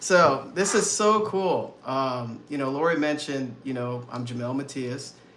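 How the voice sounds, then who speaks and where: A man talks at a fairly high pitch and a fairly slow pace, with lively intonation and an animated tone. He leaves hardly any pauses, and background noise is noticeable. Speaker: mindset coach. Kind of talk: live webinar presentation.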